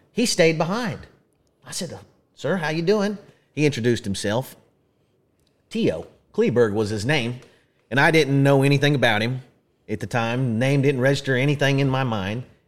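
A man in an Oklahoma accent talks at a moderate pace with a fairly high voice and long, frequent pauses. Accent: Oklahoma rural Southern US. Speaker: podcast host, museum representative, former rodeo clown. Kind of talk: casual chat. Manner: animated, laughs often.

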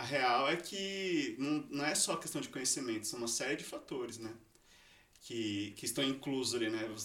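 A man's medium-pitched voice at a moderate pace, with lively intonation and audible room echo. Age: 30s. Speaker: engineer. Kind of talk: casual chat.

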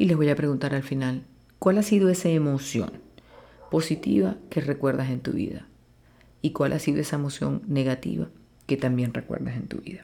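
This woman has a very deep, low pitch, a dark, mellow tone, and vocal fry, speaking at a moderate pace with ordinary pitch variation and long, frequent pauses. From Venezuela, Maracaibo (Zulia). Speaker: plastic surgeon, podcast host. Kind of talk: podcast monologue.

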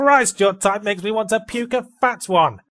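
In an English accent, a man speaks at an extremely high pitch with ordinary pitch variation. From England. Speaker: video game critic. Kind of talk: scripted narration. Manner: fast.

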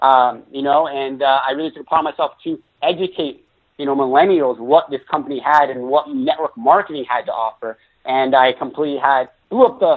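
Speaking at a fairly quick pace, a man with a fairly high pitch and ordinary pitch variation shows big swings in loudness. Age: 20s. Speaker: network marketing entrepreneur. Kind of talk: interview. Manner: animated.

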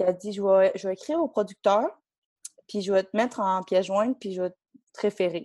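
Dark, mellow tone with a Quebec accent, a moderate pace, and a dry, close sound free of echo. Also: woman. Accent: Québécois French. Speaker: figure skater. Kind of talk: casual chat. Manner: animated, laughing.

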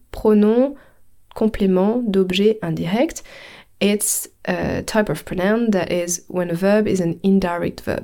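Very slow in pace, a woman speaks in a dark, mellow tone at medium pitch with ordinary pitch variation. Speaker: French language teacher and podcast host. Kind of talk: language lesson.

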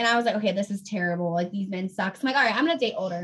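A woman with an American accent speaks in a plain, everyday voice at medium pitch, with ordinary pitch variation. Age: 20s. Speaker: radio DJ. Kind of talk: casual chat.

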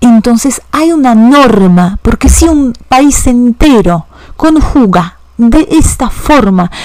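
A woman speaks very slowly in a high voice with lively intonation, and there is noticeable background noise. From Poland, Warsaw. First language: Polish (speaking Spanish). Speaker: language teacher. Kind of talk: educational podcast monologue.

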